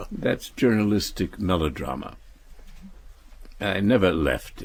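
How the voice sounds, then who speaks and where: Talking at a fairly slow pace with an American accent, a man uses a fairly low pitch, lively intonation and vocal fry. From United States. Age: 80s+. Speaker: novelist and essayist. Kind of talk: interview answer. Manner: dry, acerbic wit.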